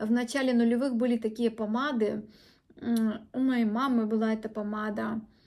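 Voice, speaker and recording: Her voice is fairly high and moves at a fairly slow pace. The woman keeps fairly even intonation against a quiet background. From Ukraine. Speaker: beauty blogger. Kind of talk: product review. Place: home room. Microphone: phone near.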